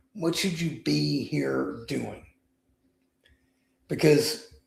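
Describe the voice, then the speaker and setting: Heard with audible room echo, a man talks at a very slow pace. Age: 60s. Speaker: weight-loss speaker and author. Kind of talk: podcast interview.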